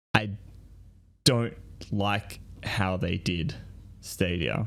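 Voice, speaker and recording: Someone with an Australian accent speaks at a very slow pace with ordinary pitch variation. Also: man, very deep, low pitch for a man. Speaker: podcaster. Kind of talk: casual chat. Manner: halting, many fillers.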